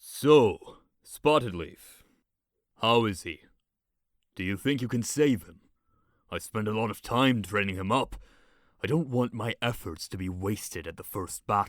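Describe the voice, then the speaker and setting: A woman puts on a character voice with a very deep, low pitch, moving at a moderate pace with long, frequent pauses. The recording is very clean, with a silent background. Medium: audio drama. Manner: cold, condescending.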